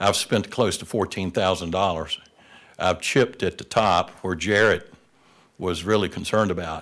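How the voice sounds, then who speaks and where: At a moderate pace, a man speaks in a very deep, low voice with fairly even intonation. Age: 70s. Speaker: property owner applicant at public hearing. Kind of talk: public comment at county meeting. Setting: county board meeting room.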